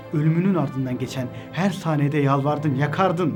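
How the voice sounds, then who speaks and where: With music in the background, a man speaks in a dramatic tone at a moderate pace and medium pitch. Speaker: religious motivational speaker. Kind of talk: spoken word motivational monologue. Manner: direct second-person address, dramatic.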